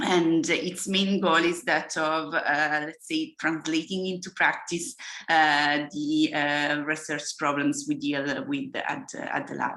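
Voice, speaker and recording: A woman's very deep, low voice with a bright, sharp tone and an Italian accent, very slow pace, hardly any pauses and ordinary pitch variation. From Italy. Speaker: engineering professor. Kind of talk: lecture. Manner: halting.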